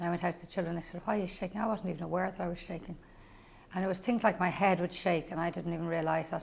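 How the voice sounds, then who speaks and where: Speech races along at a very fast pace. Its intonation is monotone and flat. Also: woman, fairly low pitch for a woman. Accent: Irish. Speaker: school principal with Parkinson's. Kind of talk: personal testimony. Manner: halting, repetitive.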